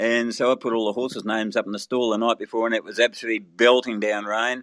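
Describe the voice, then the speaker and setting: Very fast and monotone, a man with an Australian accent speaks at a medium pitch, captured with a dry, close sound and no echo. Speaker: race caller. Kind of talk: interview answer.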